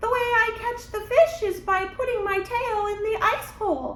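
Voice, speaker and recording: Put-on character voice, squeaky and extremely high-pitched, at a moderate pace with slight echo. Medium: read story. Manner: sly, playful.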